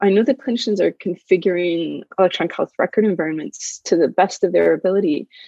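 The voice carries vocal fry and ordinary pitch variation at a fairly quick pace. The sound is dry and close, without echo. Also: woman. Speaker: health data and standards expert. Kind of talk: interview conversation.

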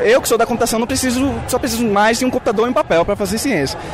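Speaking at a very fast pace, a man is heard over noticeable background noise. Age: 20s. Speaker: master's student at a protest. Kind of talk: street interview.

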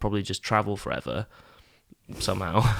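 A man speaks with an English accent at a fairly quick pace and fairly even intonation. The recording is very clean, with a silent background. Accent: English-sounding. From Scotland, East Neuk of Fife. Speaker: actor. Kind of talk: casual chat.

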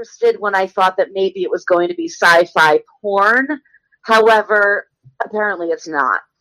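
Natural-voiced reading aloud against a quiet background

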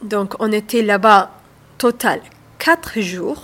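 A woman with an Arabic accent, medium in pitch, with ordinary pitch variation and a very slow pace. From Saudi Arabia, Somali family. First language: Arabic (speaking French). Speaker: author and restaurant owner. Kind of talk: radio interview. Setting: on location by the canal.

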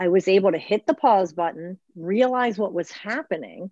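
Against a quiet background, a woman with an American accent speaks in a plain, everyday voice at a medium pitch, with lively intonation and a moderate pace. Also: dry, close sound with no echo. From Baltimore, Maryland, US. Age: 50s. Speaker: mental health therapist. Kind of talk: casual interview.

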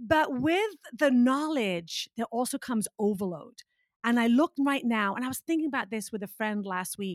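A woman's high-pitched voice comes through with a dry, close sound and no echo. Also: moderate pace. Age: 50s. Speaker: fitness instructor and speaker. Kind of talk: casual chat.

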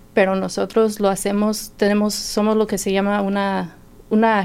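A woman with a plain, everyday voice, medium pitch and a fairly slow pace. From Indiana, US. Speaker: health insurance enrollment worker. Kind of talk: radio interview.

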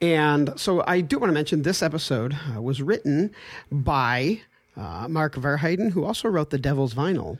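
With a plain, everyday voice, a man talks at a moderate pace, his fairly high pitch moving in a lively intonation. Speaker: podcast host. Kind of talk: casual chat.

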